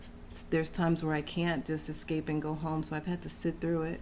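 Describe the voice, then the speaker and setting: A woman with an American accent speaks fairly quickly in a very deep, low pitch with a monotone, flat intonation. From Texas. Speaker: interview guest. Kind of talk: casual interview chat.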